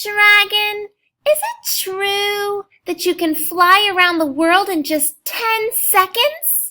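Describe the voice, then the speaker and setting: Using a put-on character voice, a woman speaks very slowly at an extremely high pitch. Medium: read story.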